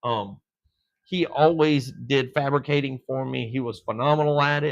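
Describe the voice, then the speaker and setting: The man speaks at a moderate pace with fairly even intonation. The background is quiet. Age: 50s. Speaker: dirt track racing promoter. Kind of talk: casual chat. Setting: live stream from a shop. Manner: halting, many fillers and restarts.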